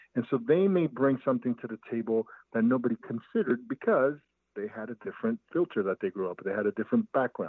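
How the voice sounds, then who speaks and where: With a plain, everyday voice, a man speaks at a medium pitch and a fairly quick pace. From Brooklyn, New York. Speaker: business owner and coach. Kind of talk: interview conversation.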